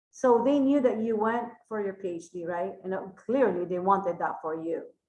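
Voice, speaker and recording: A dark, mellow tone with a Filipino accent, ordinary pitch variation and a moderate pace. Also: woman, medium pitch for a woman. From Philippines. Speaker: podcast host. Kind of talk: casual interview.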